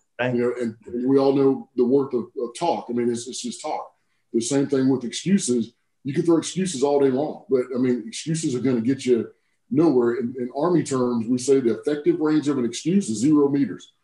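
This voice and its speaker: A man with an American accent, a dark, mellow tone, medium pitch, ordinary pitch variation and a fairly quick pace, with audible room echo and a quiet background. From US South, South Carolina (Woodruff); South Carolina. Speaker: army general; guest. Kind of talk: casual interview. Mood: warm, reflective, motivational. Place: office. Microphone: video call.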